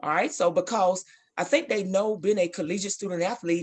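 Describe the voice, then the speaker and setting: A woman speaks at a fairly low pitch and a fairly quick pace. The background is quiet. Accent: Southern US. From Alabama. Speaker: basketball coach and athletic director. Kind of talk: interview.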